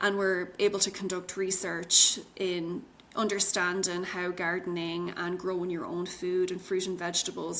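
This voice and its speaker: A woman with an Irish accent speaks in a monotone, flat intonation. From Ireland. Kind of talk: interview answer.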